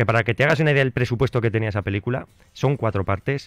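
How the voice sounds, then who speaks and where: The sound is dry, with no echo. A man talks at a very fast pace. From Spain. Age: 40s. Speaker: film and nostalgia radio contributor; nostalgia radio contributor. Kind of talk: radio segment chat. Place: studio. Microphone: studio mic.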